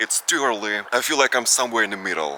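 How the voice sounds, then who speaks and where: Noticeable background noise sits behind a voice with lively intonation. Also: man. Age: 20s. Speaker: vlogger. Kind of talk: casual Q&A vlog.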